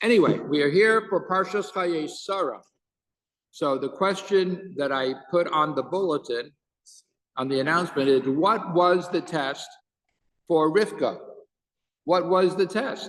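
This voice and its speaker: A man with a high pitch speaks at a fairly slow pace with ordinary pitch variation. Long, frequent pauses break up his speech over a quiet background. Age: 60s. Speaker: rabbi and teacher. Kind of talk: casual chat before a Torah class; Torah class.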